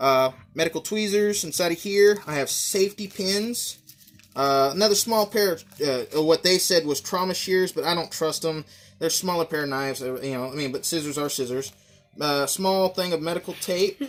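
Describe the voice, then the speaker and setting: The man's voice sits high in pitch. His pitch varies in an ordinary way. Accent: Southern US. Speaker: gear reviewer. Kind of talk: show-and-tell gear tutorial. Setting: home, filmed by his daughter. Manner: fast; hesitant, many fillers.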